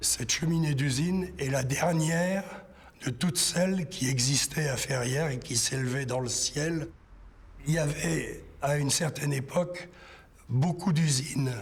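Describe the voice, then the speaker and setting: Noticeable background noise accompanies a man with a fairly high pitch. He speaks at a fairly slow pace with ordinary pitch variation. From northern France, Nord near Maubeuge. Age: 60s. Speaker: local history witness. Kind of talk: testimony.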